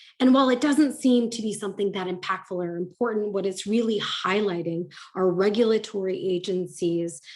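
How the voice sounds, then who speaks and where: A woman with an American accent speaks in an unremarkable speaking voice at a medium pitch, with lively intonation. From United States. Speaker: ESG advisor, conference keynote speaker. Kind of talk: conference keynote.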